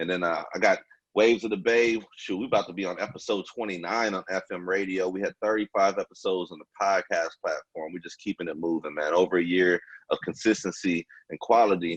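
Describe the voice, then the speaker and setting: Fairly even intonation at a fairly quick pace, with a dry, close sound and no echo. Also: man, very deep, low pitch for a man. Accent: American. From Junction City, Kansas. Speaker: radio host. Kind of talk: show intro; casual interview. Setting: phone call.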